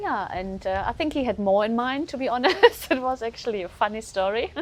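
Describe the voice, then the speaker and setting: In a German accent, the speaker moves at a fairly quick pace with lively intonation. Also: woman, high pitch for a woman. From Germany. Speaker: guesthouse owner. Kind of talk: casual interview. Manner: hesitant, many fillers.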